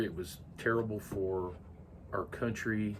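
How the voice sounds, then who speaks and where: Audible room echo surrounds a man speaking with an American accent at a fairly low pitch. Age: 70s. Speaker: grandfather interviewed about his life. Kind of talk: oral history interview. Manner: hesitant, many filler words.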